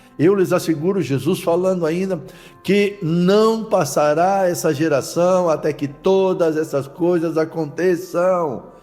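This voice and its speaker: Music plays behind a man speaking at a very slow pace with a high pitch and fairly even intonation. His loudness is very even, and room echo is audible. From Santa Catarina, southern Brazil. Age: 70s. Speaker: pastor. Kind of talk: sermon.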